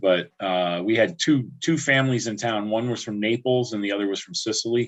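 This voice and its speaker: A man's medium pitch moves with ordinary variation as he talks at a fairly quick pace. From upstate New York (Albany area, Catskills). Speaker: livestream host. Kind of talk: casual chat. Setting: livestream.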